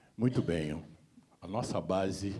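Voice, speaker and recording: A man with a very deep, low pitch and a dark, mellow tone talks at a fairly slow pace. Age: 70s. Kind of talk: seminar panel talk.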